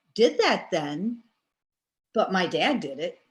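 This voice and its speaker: A woman at a fairly slow pace, with vocal fry and very wide pitch swings. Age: 60s. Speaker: class participant. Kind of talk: class discussion.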